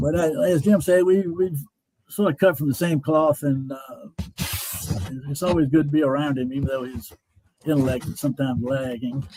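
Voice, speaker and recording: In a North Carolina accent, the speaker keeps a moderate pace with long, frequent pauses. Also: man, fairly high pitch for a man, ordinary pitch variation. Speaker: Vietnam veteran. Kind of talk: interview.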